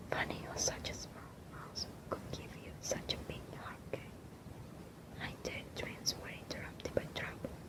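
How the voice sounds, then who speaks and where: A woman whispering at a fairly slow pace, with big swings in loudness and noticeable background noise. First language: not English. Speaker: ASMR creator, book reader. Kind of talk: ASMR book reading, bedtime. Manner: soft, whispered, relaxing.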